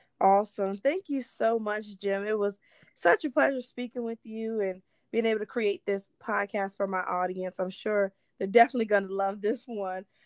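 A woman with an unremarkable speaking voice talks at a moderate pace and fairly high pitch. The recording is very clean, with a silent background and a dry, close sound with no echo. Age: 20s. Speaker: podcast host and real estate agent. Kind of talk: interview.

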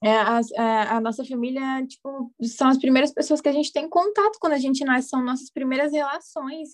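Pitched high, a woman's voice moves along at a fairly quick pace. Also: ordinary pitch variation. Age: 20s. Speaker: podcast host, psychologist. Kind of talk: casual chat.

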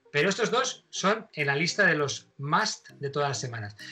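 A man's bright, sharp, fairly high voice with lively intonation at a moderate pace. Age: 50s. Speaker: radio host, actor and pilot. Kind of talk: casual interview.

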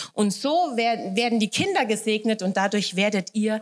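A woman speaks at a fairly high pitch. Her pace is fairly slow, with noticeable background noise behind her. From Hesse, Germany (Wächtersbach). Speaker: guest preacher. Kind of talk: sermon.

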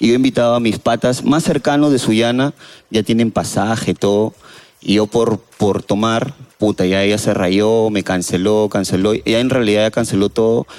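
A man with an ordinary speaking voice talks at a moderate pace, his loudness very even. His pitch sits in the middle of his range, with ordinary pitch variation. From Peru. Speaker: resident doctor, audience member. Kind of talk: casual chat. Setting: stage with audience.

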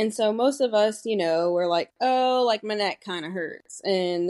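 Over a quiet background, a woman with a normal speaking voice talks at a moderate pace. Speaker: physical therapist. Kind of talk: casual interview chat.

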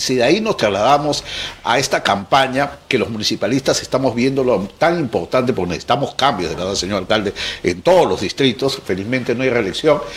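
A man speaking fairly quickly with lively intonation over noticeable background noise. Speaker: news show host. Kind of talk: interview.

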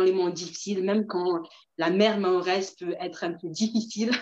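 A woman speaks at a fairly slow pace. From Mayotte, moved to France at 7. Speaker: entrepreneur and researcher. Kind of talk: interview on a live video stream. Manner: hesitant, many fillers and repetitions.

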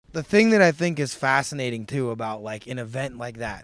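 His intonation is lively. The man moves along at a fairly quick pace. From St. Louis, Missouri. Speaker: podcast host. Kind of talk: casual interview chat. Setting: in a house. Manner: animated.

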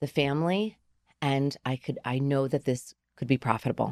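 A woman with a New Jersey accent speaks at a fairly slow pace in a very deep, low pitch with ordinary pitch variation. The sound is dry and close, with no echo. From New Jersey, Garfield. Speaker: ice cream truck business owner. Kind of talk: interview. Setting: studio. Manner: halting.

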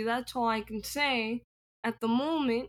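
A woman speaks with an American accent in a high pitch. Her intonation is fairly even. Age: 20s. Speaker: author. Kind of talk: interview.

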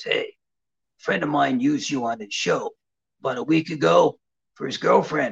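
A man does a raspy put-on character voice at a moderate pace.

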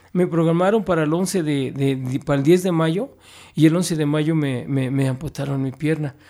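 Dark, mellow tone from a man with a fairly high pitch, ordinary pitch variation and a moderate pace. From Mexico City (Iztacalco). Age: 50s. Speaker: writer. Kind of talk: casual interview. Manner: halting, frequent repetitions.

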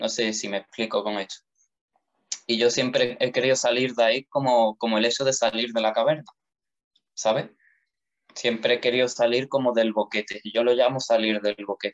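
A man's medium-pitched, monotone delivery at a moderate pace, flat throughout, broken by long, frequent pauses. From Andalusia, Spain (Jerez de la Frontera). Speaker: philosophy student and podcaster. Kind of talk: casual interview.

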